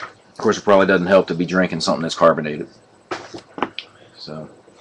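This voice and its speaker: A man talks at a fairly quick pace with a very deep, low pitch. Background noise is noticeable. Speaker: sports card breaker, online seller. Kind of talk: live stream card break. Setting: live stream.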